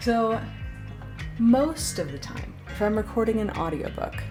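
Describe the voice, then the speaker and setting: With music in the background, a woman talks at a fairly slow pace in an upbeat tone. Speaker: voice actor. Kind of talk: casual talk to camera.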